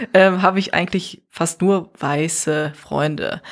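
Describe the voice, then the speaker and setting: A woman speaks with a fairly low pitch and fairly even intonation. She has a plain, everyday voice. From Neuss, Rhineland, Germany. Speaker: artist and podcaster. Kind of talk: casual interview. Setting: hotel room.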